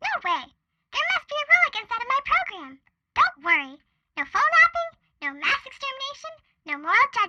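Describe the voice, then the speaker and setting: A woman in a put-on character voice talks at a fairly quick pace, squeaky and extremely high-pitched, with very wide pitch swings and long, frequent pauses. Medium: audio drama. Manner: chatty, playful.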